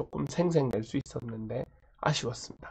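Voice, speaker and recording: A man is speaking. His voice sounds somewhat breathy. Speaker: high school Korean teacher. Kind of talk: lecture.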